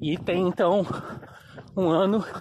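A man talks while noticeable background noise runs behind him. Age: 30s. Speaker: amateur runner. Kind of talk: motivational monologue. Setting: outdoors.

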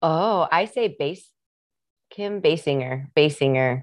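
The speaker has a Midwestern US accent and a fairly slow pace. Pitch varies in an ordinary way. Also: woman. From US Midwest. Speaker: singer-songwriter and actress. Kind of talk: casual interview chat. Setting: video call. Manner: laid-back, chatty.

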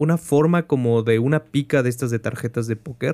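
Male voice with a dark, mellow tone and fairly even intonation, in a very clean recording with a silent background and a dry, close sound with no echo. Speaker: game master and podcast host. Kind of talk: tabletop horror narration, game master describing scenes to players.

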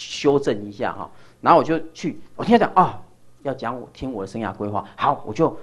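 A man's very fast speech, with very wide swings in pitch. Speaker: lecturer. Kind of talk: lecture.

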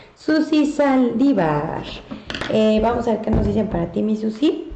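A woman with a Mexican accent, heard with audible room echo. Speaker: psychic medium delivering angel messages. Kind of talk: live-stream reading of viewer messages. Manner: animated.

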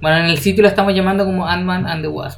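A very fast man with a Chilean accent and ordinary pitch variation, with audible room echo and noticeable background noise. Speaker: podcast co-host. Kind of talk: casual chat.

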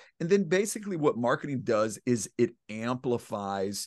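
Against a quiet background, a man speaks at a moderate pace with ordinary pitch variation, the sound dry and close with no echo. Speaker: internet marketer. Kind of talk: casual interview.

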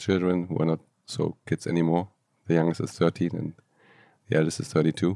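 With a German accent, a man speaks at a moderate pace in a very deep, low voice of dark, mellow tone, his pitch varying in an ordinary way, recorded dry and close with no echo. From Germany, Aachen. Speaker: entrepreneur and coach. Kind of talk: interview.

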